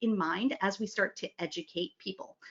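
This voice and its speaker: A woman's voice at a medium pitch. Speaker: email marketing conference speaker. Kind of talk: conference presentation. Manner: fast; animated.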